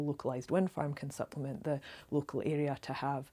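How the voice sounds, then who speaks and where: Very deep and low, a woman's voice has a dark, mellow tone and a monotone, flat intonation. She speaks at a fairly quick pace on a very clean recording with a silent background. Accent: Scottish. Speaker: local campaigner. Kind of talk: direct-to-camera appeal. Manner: fast; earnest, many filler ums.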